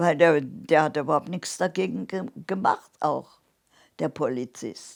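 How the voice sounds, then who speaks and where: On a very clean recording with a silent background, a woman speaks at a very slow pace with a very deep, low pitch, vocal fry and lively intonation. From Saarland, Germany. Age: 80s+. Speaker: Holocaust survivor. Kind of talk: interview answer.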